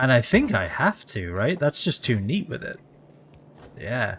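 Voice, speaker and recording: At a very slow pace, a man speaks with a medium pitch. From England. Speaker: video game streamer. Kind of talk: casual live-stream chat. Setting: live stream. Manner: halting, with many fillers and repeats.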